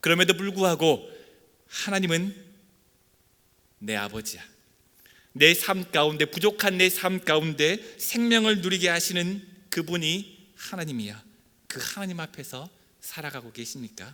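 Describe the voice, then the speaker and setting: This man has a high pitch and a bright, sharp tone with lively intonation. He talks at a fairly slow pace with long, frequent pauses. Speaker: pastor. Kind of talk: sermon.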